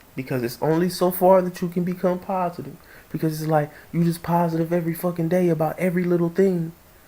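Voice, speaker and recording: At a very fast pace, a man talks in an animated tone at a high pitch. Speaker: vlogger. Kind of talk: casual monologue. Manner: stuttering at times.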